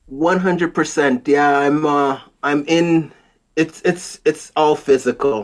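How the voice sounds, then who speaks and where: Over a silent background in a very clean recording, a man with a slight Jamaican accent speaks at a very slow pace, his fairly high pitch held in fairly even intonation. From Jamaica, moved to Canada as a child. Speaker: wood flooring professional. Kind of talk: interview.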